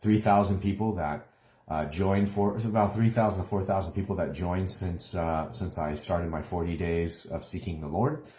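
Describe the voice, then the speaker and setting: A very deep, low male voice, dark and mellow and somewhat breathy, at a fairly quick pace with ordinary pitch variation. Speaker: online minister. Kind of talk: live video update. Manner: hesitant, many fillers.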